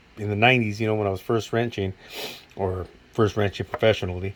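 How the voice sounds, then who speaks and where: A man talks at a very fast pace. His fairly low voice holds a monotone, flat intonation. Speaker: mechanic. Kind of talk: tool review video. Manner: stuttering; casual, hesitant.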